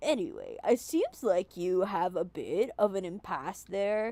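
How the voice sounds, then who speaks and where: A woman uses a put-on character voice. She speaks at a fairly slow pace. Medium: virtual streamer. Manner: chatty, lightly sardonic.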